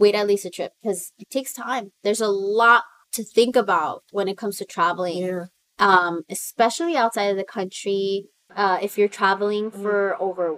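This woman, with an American accent and a plain, everyday voice, talks at a moderate pace with medium pitch and ordinary pitch variation, her loudness swinging widely in a dry, close sound with no echo. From US, Salvadoran family. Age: 20s. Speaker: artist and writer. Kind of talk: casual interview chat.

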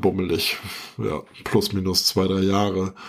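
A man's voice, fairly low in pitch, moves at a fairly slow pace. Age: 40s. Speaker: podcast host, IT professional. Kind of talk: casual chat. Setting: video call.

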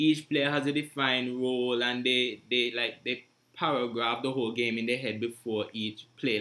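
Speaking in a normal speaking voice, the man keeps a medium pitch and a moderate pace. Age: young. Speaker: podcast host. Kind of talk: casual discussion.

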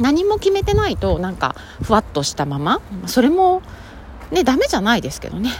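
Noticeable background noise is heard throughout. A woman speaks fairly quickly over it. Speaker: podcaster. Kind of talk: casual solo talk.

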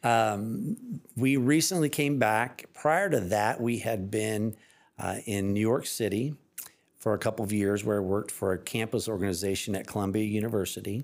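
In an unremarkable speaking voice, a man with an American accent talks at a moderate pace and fairly low pitch. Pitch variation is ordinary, and the recording is very clean with a silent background. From Evansville, Indiana, US Midwest. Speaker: water utility executive director. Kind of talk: casual interview.

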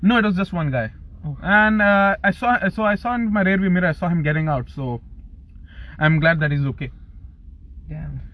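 Talking at a fairly quick pace, a man with a high pitch uses lively intonation broken by long, frequent pauses. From UAE (Dubai), Pakistani family. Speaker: podcast host, university student. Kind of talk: casual chat. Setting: parked car.

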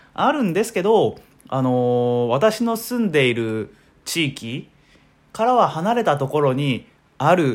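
A man's fairly high voice in a relaxed tone, with very wide pitch swings, in a very clean recording over a silent background. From Ehime, Shikoku. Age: 20s. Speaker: podcaster. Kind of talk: solo casual monologue. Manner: relaxed, many filler words.

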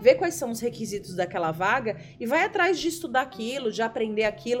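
A woman's fairly high voice with lively intonation at a fairly quick pace, over noticeable background noise. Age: 30s. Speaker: podcast guest. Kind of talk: casual chat.

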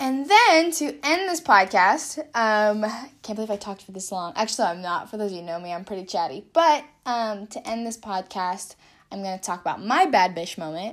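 A woman with an American accent speaks at a fairly quick pace and a medium pitch. Her pitch swings very widely and her loudness shifts a lot. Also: very clean recording, silent background. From California. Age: 20s. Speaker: podcast host and artist, college student. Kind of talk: casual solo monologue. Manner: animated.

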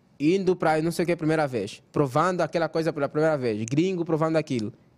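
Talking very fast with an Angolan accent, a man uses a fairly high pitch and ordinary pitch variation. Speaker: content creator. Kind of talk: casual chat.

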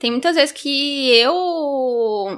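Over a silent background in a very clean recording, a woman projects a raised, high-pitched voice with a bright, sharp tone. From Gurupi, Tocantins, Brazil. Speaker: youth group music coordinator. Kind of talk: casual chat.

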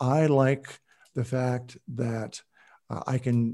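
Fairly even intonation runs through a dark, mellow tone. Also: man. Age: 60s. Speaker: real estate lender and investor. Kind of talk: interview.

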